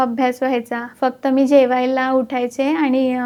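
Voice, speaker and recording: Over clear background noise, a woman talks in a high voice. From Maharashtra, Pandharpur. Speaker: chartered accountant. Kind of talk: interview.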